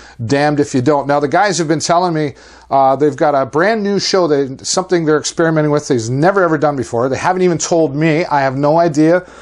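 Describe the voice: A man speaks quickly in a fairly high voice with ordinary pitch variation.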